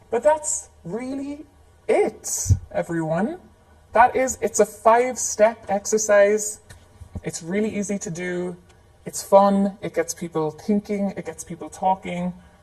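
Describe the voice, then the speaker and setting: A woman at medium pitch with an Irish accent, a fairly slow pace and big swings in loudness. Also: lively intonation. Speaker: facilitation trainer. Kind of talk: live training tutorial. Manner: casual, conversational with fillers.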